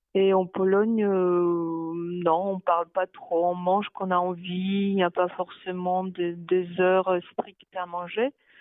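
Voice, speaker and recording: A woman speaks with a Polish accent at a very slow pace. Her medium pitch stays monotone, with flat intonation. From Poland, Baltic coast. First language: Polish (speaking French). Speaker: interviewee. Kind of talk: interview.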